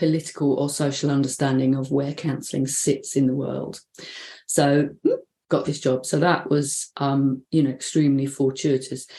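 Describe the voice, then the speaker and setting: At a moderate pace, a woman speaks with a dark, mellow tone and a very deep, low pitch. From London, England. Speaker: bereavement counsellor. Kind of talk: interview. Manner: casual, hesitant with fillers.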